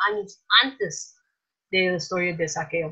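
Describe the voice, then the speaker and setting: Bright and sharp in tone, a woman speaks with an American accent. Her pace is fairly slow. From US Midwest, Minnesota. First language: English (speaking Spanish). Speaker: missionary. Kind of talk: casual chat. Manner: hesitant, many fillers.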